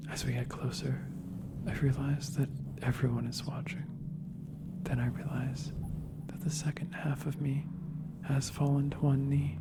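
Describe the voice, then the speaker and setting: Soft-spoken, fairly slow speech over noticeable background noise. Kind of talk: soft-spoken ASMR story reading. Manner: soft-spoken, slow.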